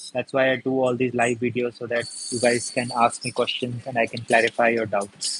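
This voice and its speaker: A man talks at a fairly quick pace in a monotone, flat way. The sound is dry and close with no echo, though noticeable background noise is present. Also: medium pitch for a man. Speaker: paper craft tutor. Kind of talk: live craft tutorial.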